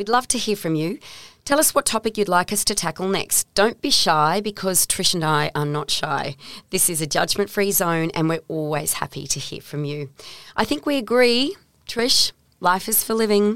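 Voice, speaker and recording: A woman's medium-pitched voice in an Australian accent, with very wide pitch swings at a moderate pace, dry and close with no echo. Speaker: podcast host. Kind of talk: casual interview; scripted intro and outro. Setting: studio.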